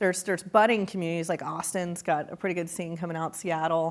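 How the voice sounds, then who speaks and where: A woman speaks with a Texan accent at a fairly low pitch. The recording is very clean, with a silent background. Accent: Texan accent, still noticeable. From small-town Texas. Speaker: entrepreneurship executive, lecture guest. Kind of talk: interview on stage. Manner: animated.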